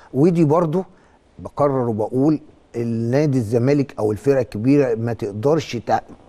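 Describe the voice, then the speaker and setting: A man's medium-pitched voice with a dark, mellow tone, ordinary pitch variation and a moderate pace. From Egypt. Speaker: football coach. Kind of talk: sports talk show interview. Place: studio. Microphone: lapel.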